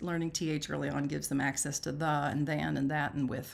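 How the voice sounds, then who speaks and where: The pace is fairly quick. There is vocal fry in the voice. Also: woman. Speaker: reading teacher. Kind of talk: live webinar teaching. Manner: animated.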